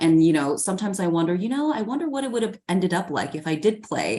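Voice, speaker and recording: A woman races along at a very fast pace. Her fairly low pitch swings very widely. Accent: Southeast Asian. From US, child of Hmong refugees. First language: Hmong. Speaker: news anchor. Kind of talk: interview conversation.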